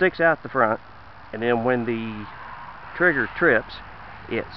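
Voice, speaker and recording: A man of medium pitch speaks in a Southern US accent with ordinary pitch variation. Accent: noticeable Southern US. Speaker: shooting video maker. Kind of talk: casual demonstration.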